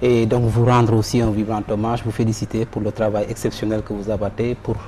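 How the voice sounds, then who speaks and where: A man talks at a fairly quick pace and fairly low pitch. His intonation is monotone and flat, with noticeable background noise. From Senegal. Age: 40s. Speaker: banker and economist. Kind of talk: interview. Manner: formal.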